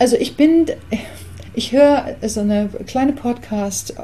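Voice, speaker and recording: A woman with an English accent at a very slow pace, over noticeable background noise. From England. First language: English (speaking German). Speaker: artist and songwriter. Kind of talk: interview.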